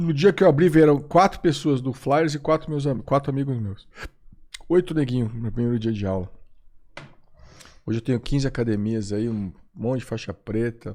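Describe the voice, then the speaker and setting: In a very clean recording with a silent background, a man at medium pitch talks at a moderate pace in a dark, mellow tone with lively intonation and long, frequent pauses. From Brazil. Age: 50s. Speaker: former MMA referee and jiu-jitsu instructor. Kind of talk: podcast interview.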